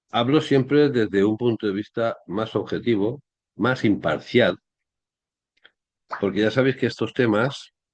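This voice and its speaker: The man's pitch is medium, with ordinary variation. He speaks at a fairly slow pace with long, frequent pauses. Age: 60s. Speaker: history commentator. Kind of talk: monologue commentary. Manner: halting.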